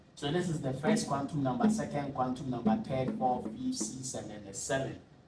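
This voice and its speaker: Over audible room echo, a man with a fairly high pitch speaks with lively intonation. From Ghana. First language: not English. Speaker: tutor. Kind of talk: tutorial. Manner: halting.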